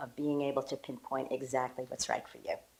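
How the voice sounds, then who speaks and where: At a fairly quick pace, a woman speaks with a very deep, low pitch. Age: 60s. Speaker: women's health coach. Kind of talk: promotional talk to camera. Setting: home kitchen. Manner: enthusiastic.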